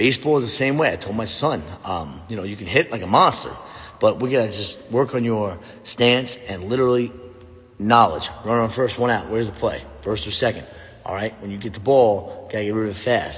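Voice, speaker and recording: Animated in tone, a man with a medium pitch talks at a fairly quick pace with ordinary pitch variation. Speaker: former pro football player and youth coach. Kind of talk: casual vlog monologue. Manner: loud.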